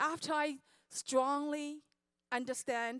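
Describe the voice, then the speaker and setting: A woman speaks at a high pitch. The sound is dry and close with no echo, on a very clean recording with a silent background. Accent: Chinese. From China. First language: Chinese. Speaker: network marketing speaker. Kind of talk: motivational speech.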